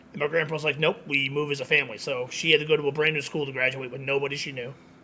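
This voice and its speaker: At a very fast pace, the speaker talks with fairly even intonation and big swings in loudness over noticeable background noise. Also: man, fairly high pitch for a man. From Connecticut, US (born in Queens, New York). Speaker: social media creator, pizzeria manager. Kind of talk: casual chat.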